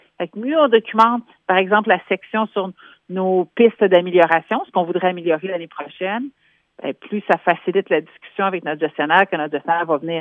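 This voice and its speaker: Speaking at a fairly quick pace, a woman has an unremarkable speaking voice, medium pitch and ordinary pitch variation. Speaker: human resources specialist. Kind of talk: radio column interview.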